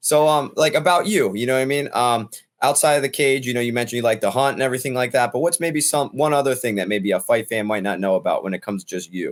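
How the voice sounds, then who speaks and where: This man talks very fast with an American accent. He takes hardly any pauses. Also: medium pitch for a man, lively intonation. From US, Philadelphia. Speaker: interviewer, taekwondo instructor. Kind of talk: interview.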